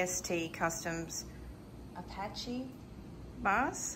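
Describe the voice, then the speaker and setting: A voice with an Australian accent, heard with audible room echo. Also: woman. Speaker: motorcycle vlogger. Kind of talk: casual chat.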